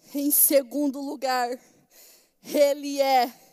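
A woman's high voice has a dark, mellow tone and a monotone, flat intonation. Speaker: pastor. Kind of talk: sermon. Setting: church.

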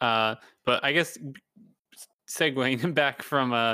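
On a very clean recording with a silent background, a man of medium pitch speaks at a fairly slow pace in a bright, sharp tone. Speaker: podcast host. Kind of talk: casual interview chat.

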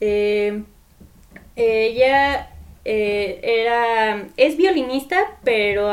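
A woman talks in a fairly high pitch. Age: 20s. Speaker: architecture student and keyboardist. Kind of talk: casual chat.

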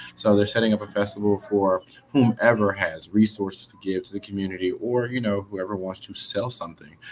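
Over music in the background, a man with an American accent speaks at a fairly quick pace and a fairly low pitch with fairly even intonation. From Houston, Texas. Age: 30s. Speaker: real estate investor and aspiring realtor. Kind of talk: casual interview.

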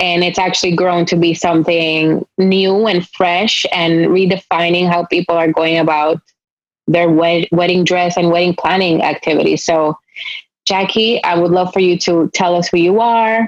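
Speaking at a moderate pace with a Spanish accent, a woman keeps a fairly low pitch, a monotone, flat intonation and very even loudness. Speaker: podcast host. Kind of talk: interview.

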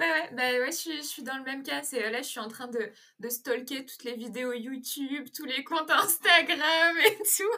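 A woman speaks at a fairly slow pace in a raised, projected voice, high-pitched with a bright, sharp tone. Her intonation is lively, and her loudness swings widely. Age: 20s. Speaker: lifestyle content creator. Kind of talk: interview.

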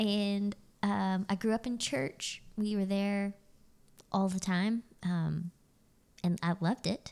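On a very clean recording with a silent background, a woman with an American accent speaks at a very slow pace and medium pitch, her intonation fairly even and loudness very even, with long, frequent pauses. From Texas, Fort Worth area. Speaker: pastor's wife. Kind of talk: casual chat. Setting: dining room at home.

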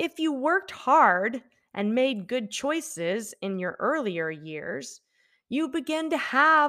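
Her high voice moves through very wide pitch swings as the woman speaks at a fairly slow pace. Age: 40s. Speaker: English-learning podcast host. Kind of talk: scripted narration for English learners. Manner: slow, clear enunciation.

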